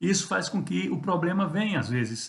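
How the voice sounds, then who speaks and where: Against a quiet background, a man talks at a moderate pace with lively intonation and vocal fry. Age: 60s. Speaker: pastor. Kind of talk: devotional sermon talk. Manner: conversational with hesitations.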